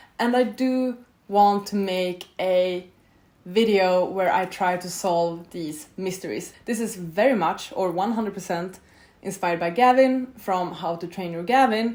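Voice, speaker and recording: Speaking at a fairly slow pace, a woman uses a Swedish accent. Her voice sits at medium pitch with ordinary pitch variation. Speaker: booktuber. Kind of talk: casual vlog talk to camera. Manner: casual, conversational with fillers.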